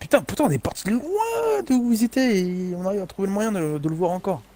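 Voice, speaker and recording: A man with a high voice talks at a fairly quick pace. His pitch swings very widely. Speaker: gaming streamer. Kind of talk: casual chat.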